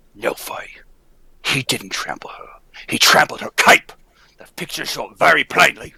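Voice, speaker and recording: A man whispers in a put-on character voice at a moderate pace. He leaves long, frequent pauses. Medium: old radio play. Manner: hesitant, stammering.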